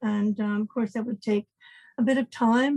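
Speaking fairly quickly at a fairly high pitch, a woman with a dark, mellow, somewhat breathy tone keeps her intonation monotone and flat, in a dry, close sound with no echo. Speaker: inventor of pregnancy test. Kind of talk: interview. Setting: remote call.

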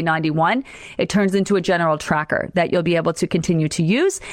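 A woman's animated tone at a fairly quick pace. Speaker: weight loss program coach. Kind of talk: live stream talk to group. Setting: Facebook live video. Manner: fast.

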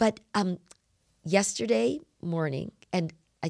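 A woman talks with a fairly low pitch and vocal fry. The sound is dry and close, with no echo. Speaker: scripture study podcast host. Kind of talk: casual religious discussion.

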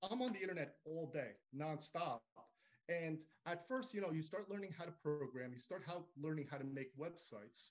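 A man with a fairly high pitch speaks with lively intonation at a moderate pace. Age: 40s. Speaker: AI generative artist. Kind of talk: podcast interview. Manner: halting.

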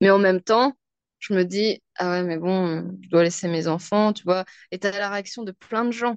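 The woman has an unremarkable speaking voice at a medium pitch, talking at a fairly slow pace with fairly even intonation. Her loudness swings a lot, and the sound is dry and close with no echo. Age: 30s. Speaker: sales director and mother. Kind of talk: casual interview. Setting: remote call.

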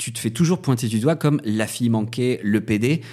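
A man speaks at a moderate pace in a dark, mellow tone with ordinary pitch variation. The recording is very clean, with a silent background. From northern France. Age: 30s. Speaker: drag performer and DJ. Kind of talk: casual chat.

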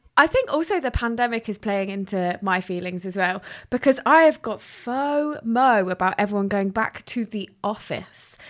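A woman with a British accent and a fairly high pitch at a moderate pace, hardly any pauses, on a very clean recording with a silent background. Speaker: podcast host. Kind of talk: scripted intro and casual interview.

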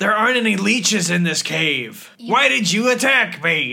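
Using a put-on character voice, a man projects loudly at a high pitch. His pace is moderate. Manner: puzzled, questioning.

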